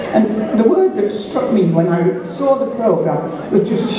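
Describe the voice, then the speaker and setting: A woman speaks at a fairly slow pace with very wide pitch swings. Noticeable background noise and audible room echo fill the recording. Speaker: blogger and festival opening speaker. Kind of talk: festival opening speech to an audience. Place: stage.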